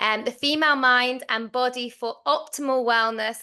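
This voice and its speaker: A woman with a British accent and a bright, sharp tone speaks at a moderate pace against a quiet background. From UK. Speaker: event host. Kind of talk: online summit moderation. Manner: animated.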